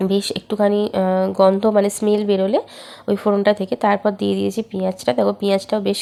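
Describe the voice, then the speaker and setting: The woman's pitch sits in the medium range. Her tone is dark and mellow. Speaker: home cooking vlogger. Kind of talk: cooking tutorial voiceover.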